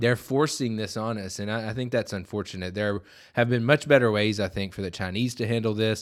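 A man with a Southern US accent speaks fairly low and at a fairly quick pace, his intonation fairly even. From US South. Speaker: policy analyst. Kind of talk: casual chat. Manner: not loud.

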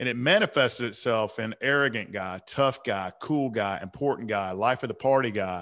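There is an unremarkable speaking voice here, a man of medium pitch with ordinary pitch variation over a quiet background. He keeps a moderate pace with hardly any pauses. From US South, Atlanta. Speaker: author and men's coach. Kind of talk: podcast interview, personal story.

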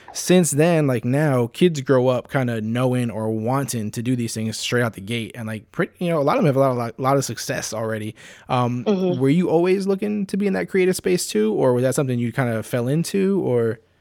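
A man talks at a fairly quick pace in an unremarkable speaking voice, with lively intonation and hardly any pauses. The recording is very clean, with a silent background. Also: medium pitch for a man. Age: 30s. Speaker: podcast host. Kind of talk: casual interview.

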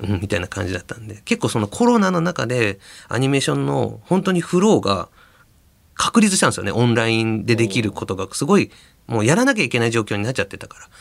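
Recorded very cleanly against a silent background, a man talks very fast with vocal fry. His medium pitch swings very widely, and so does his loudness. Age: 40s. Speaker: anime director. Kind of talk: casual chat.

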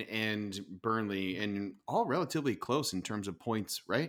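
This is a man with a normal speaking voice, medium in pitch and ordinary in pitch variation. He talks at a moderate pace on a very clean recording with a silent background. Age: 40s. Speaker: soccer podcast host. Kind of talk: casual chat.

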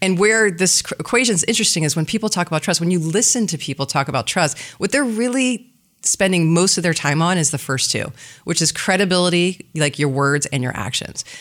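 In a very clean recording with a silent background, a woman with a fairly low pitch talks at a fairly quick pace with lively intonation. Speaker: business development executive. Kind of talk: casual interview chat. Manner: fast talker.

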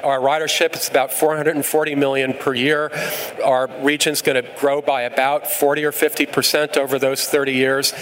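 A man with an American accent and a fairly high pitch, flat monotone intonation at a moderate pace, noticeable background noise behind him. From New York. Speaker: transit agency CEO. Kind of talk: live panel discussion.

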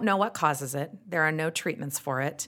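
A woman's fairly low voice in a strong Utah accent, with ordinary pitch variation, in a very clean recording with a silent background. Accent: thick Utah. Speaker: actress and radio host. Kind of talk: casual interview chat. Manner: animated, humorous.

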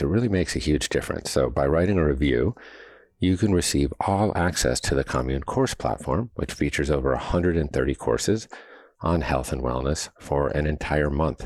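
His voice sits very deep and low, with vocal fry. The man speaks at a fairly quick pace with lively intonation. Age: 50s. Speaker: podcast host. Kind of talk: interview; scripted promo read.

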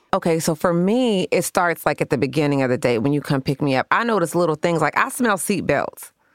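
A woman with a normal speaking voice talks at a fairly quick pace and fairly low pitch, with lively intonation, hardly any pauses and very even loudness, in a dry, close sound with no echo. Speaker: podcast co-host. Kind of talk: casual chat with relationship advice.

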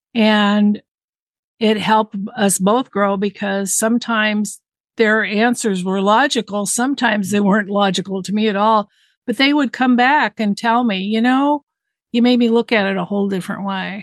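A woman with an American accent uses a normal speaking voice at a fairly high pitch. She keeps a moderate pace and fairly even intonation against a quiet background. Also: dry, close sound with no echo. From Southern California. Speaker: mediator, guest sharing life experience. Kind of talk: casual chat.

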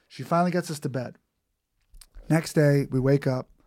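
With a New York accent, a man talks at a fairly quick pace in a fairly high pitch and fairly even intonation, on a very clean recording with a silent background. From Queens, New York City. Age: 30s. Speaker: comedian. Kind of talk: casual chat. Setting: studio.

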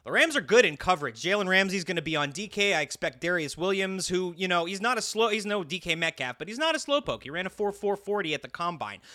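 Bright, sharp and raised to a projected level, the voice races at a very fast pace with lively intonation and hardly any pauses. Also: man, high pitch for a man. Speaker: sports betting podcast co-host. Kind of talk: casual chat.

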